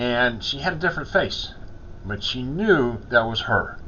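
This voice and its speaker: Using lively intonation, a man talks at a medium pitch in a normal speaking voice. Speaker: chaplain. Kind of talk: casual talk to camera.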